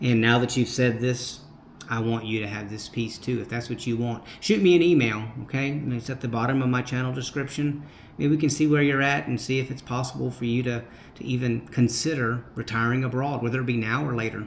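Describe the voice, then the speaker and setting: Speaking fairly quickly with an American accent, this man has a plain, everyday voice at medium pitch and fairly even intonation. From United States. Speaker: retired expat vlogger. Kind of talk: casual vlog, reading and answering viewer comments.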